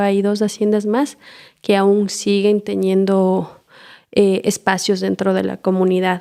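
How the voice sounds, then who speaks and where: A woman speaks with an Ecuadorian accent in a dark, mellow tone. Her intonation stays monotone and flat. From Ecuador, Imbabura highlands (Otavalo). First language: Kichwa (speaking Spanish). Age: young. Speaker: permaculture trainer and community organizer. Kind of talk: interview.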